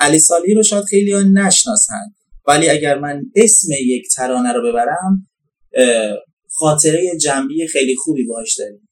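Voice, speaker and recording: A man's fairly high voice at a moderate pace, a normal speaking voice. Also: lively intonation. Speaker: podcast host. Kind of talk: interview. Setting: outdoors. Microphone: poor sound quality.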